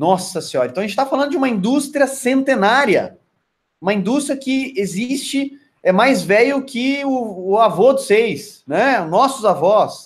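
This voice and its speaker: Using an extremely high pitch and lively intonation, a man talks at a moderate pace. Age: 40s. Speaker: network marketing trainer. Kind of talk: online training lecture. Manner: hesitant, many fillers and repetitions.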